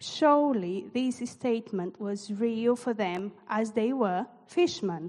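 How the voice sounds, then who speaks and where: A woman with a non-native accent speaks very slowly, with hardly any pauses. Her voice is fairly high, with ordinary pitch variation. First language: not English. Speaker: church leader. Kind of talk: sermon. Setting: church.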